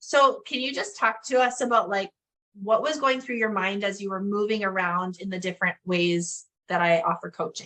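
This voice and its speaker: With a bright, sharp tone and a medium pitch, a woman speaks at a moderate pace with ordinary pitch variation. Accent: northern Canadian. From northern Canada. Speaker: business coach. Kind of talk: interview.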